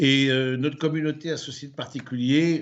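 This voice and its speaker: The man speaks at a moderate pace, medium in pitch, with fairly even intonation. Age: 60s. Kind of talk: lecture. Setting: livestreamed conference. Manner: hesitant, many fillers and repetitions.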